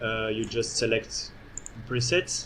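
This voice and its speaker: A man speaks with audible echo from the room. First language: not English. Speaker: architect and software developer giving a demo. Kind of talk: conference presentation with live software demo. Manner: halting, many fillers.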